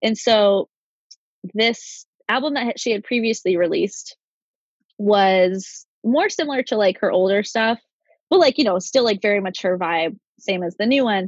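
With a fairly high pitch and ordinary pitch variation, a woman speaks at a moderate pace with long, frequent pauses in a dry, close sound with no echo. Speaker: podcast co-host. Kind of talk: casual chat.

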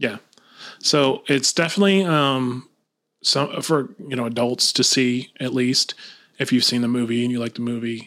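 This man has an ordinary speaking voice with a medium pitch and ordinary pitch variation. He keeps a moderate pace on a very clean recording with a silent background. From Lakeland, Florida. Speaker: podcast host. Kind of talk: casual chat.

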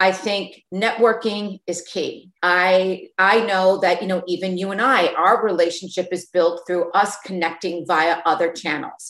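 In an unremarkable speaking voice, a woman at a medium pitch talks at a fairly slow pace with fairly even intonation and hardly any pauses. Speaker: entrepreneur, beauty brand founder. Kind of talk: casual interview.

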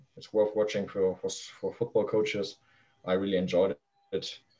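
A man's fairly low, dark, mellow voice with a German accent and fairly even intonation. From northern Germany. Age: 20s. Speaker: youth football coach. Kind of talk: interview. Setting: video call.

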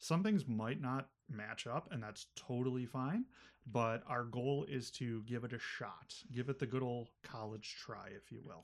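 A man talks in a plain, everyday voice at a medium pitch. His pace is fairly slow, with ordinary pitch variation. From Buffalo, New York. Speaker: librarian, podcast host. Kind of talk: casual chat.

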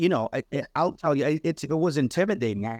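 An ordinary speaking voice with an American accent, against a quiet background. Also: man. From New Bedford, Massachusetts (Cape Verdean family). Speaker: writer and musician. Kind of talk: casual interview.

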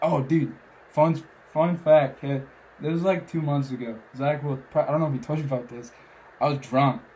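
A man with an American accent and a fairly high, somewhat breathy voice speaks at a moderate pace with fairly even intonation and long, frequent pauses. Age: 20s. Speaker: podcaster. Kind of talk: casual chat. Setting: studio, in person.

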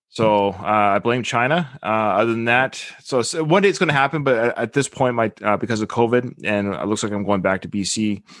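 A man's normal speaking voice with a Canadian accent, medium pitch and ordinary pitch variation, at a fairly quick pace with hardly any pauses, over a quiet background. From western Canada (Victoria, BC). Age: 40s. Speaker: podcaster and military member. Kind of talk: casual chat. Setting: video call.

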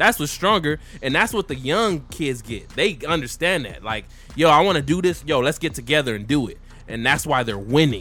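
On a very clean recording with a silent background, a man with a bright, sharp tone and vocal fry talks at a fairly high pitch and fairly quick pace with lively intonation. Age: 30s. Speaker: podcast co-host. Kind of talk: casual chat over beer. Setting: video recording. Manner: animated.

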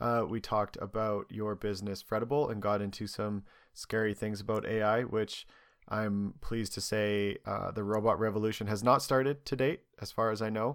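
A man talks at a moderate pace with a fairly low pitch and fairly even intonation, a plain, everyday voice. The recording is very clean, with a silent background. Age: 30s. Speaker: podcast host. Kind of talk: casual chat.

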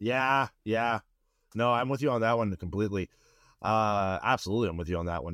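With an unremarkable speaking voice, a man talks at a fairly quick pace with a fairly low pitch and ordinary pitch variation, recorded dry and close with no echo. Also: very clean recording, silent background. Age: 30s. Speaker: podcast host, film crew member. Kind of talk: casual chat.

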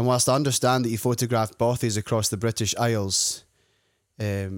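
In a Scottish accent, the speaker talks at a moderate pace with fairly even intonation on a very clean recording with a silent background. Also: man. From Scotland. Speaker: podcast host. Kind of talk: interview.

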